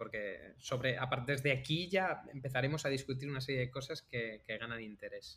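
At a fairly quick pace and with hardly any pauses, a man speaks at medium pitch in a bright, sharp tone with ordinary pitch variation. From Andalusia, Algeciras (Cádiz). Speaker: podcast host, software engineer. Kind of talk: casual chat.

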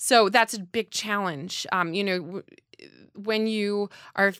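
A woman with a plain, everyday voice talks at a medium pitch and a fairly slow pace. Her intonation is fairly even, and the recording is very clean with a silent background. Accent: American. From US Northeast (New Jersey). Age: 30s. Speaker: opera singer. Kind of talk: interview. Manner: cheerful, laughs often.

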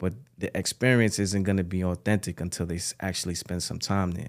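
A man with a New York accent and a very deep, low pitch, in a very clean recording against a silent background. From Bronx, New York, Ghanaian parents. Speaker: record label executive and artist manager. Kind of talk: casual interview.

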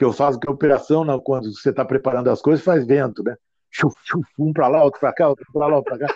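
A man with a dark, mellow tone and a fairly high pitch talks at a very fast pace. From Brazil, Ribeirão Preto (São Paulo state). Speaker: retail consultant and author. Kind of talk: interview. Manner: animated.

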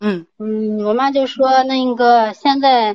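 Pitched high, a woman speaks with ordinary pitch variation. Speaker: caller, stay-at-home mother. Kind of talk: call-in advice. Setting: phone call. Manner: fast, hurried. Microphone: poor phone signal.

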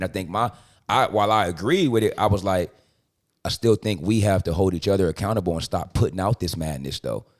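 The speech comes at a very fast pace. It is a very clean recording with a silent background. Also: man, fairly low pitch for a man, ordinary pitch variation. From Compton, Los Angeles. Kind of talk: casual chat.

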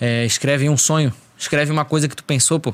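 Pitch moves in an ordinary way here. The delivery keeps a fairly quick pace. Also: man. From Florianópolis, Brazil. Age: 20s. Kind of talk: casual chat. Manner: animated.

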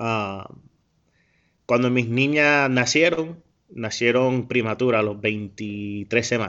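A man's medium-pitched voice at a very slow pace, with ordinary pitch variation. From US, Jacksonville, Florida. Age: 30s. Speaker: former American football player working for an NFL team. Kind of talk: interview.

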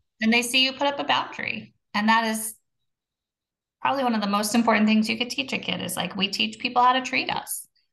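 A woman's fairly high voice, very fast, with ordinary pitch variation. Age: 40s. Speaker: podcast co-host on sobriety, manager at work. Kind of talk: casual chat.

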